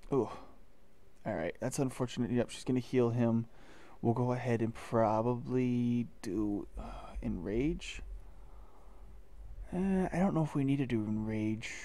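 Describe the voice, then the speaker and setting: A man speaks quietly at a fairly slow pace, with medium pitch, ordinary pitch variation and a dark, mellow tone. His speech has long, frequent pauses. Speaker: gaming youtuber. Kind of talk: gameplay commentary. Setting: at home recording, others asleep nearby.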